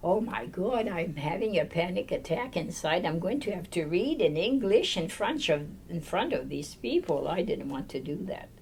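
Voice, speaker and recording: With a French Canadian accent, a woman speaks at a moderate pace with hardly any pauses, her fairly low pitch making very wide swings, over noticeable background noise and audible room echo. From Quebec. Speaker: nun. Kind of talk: oral history interview.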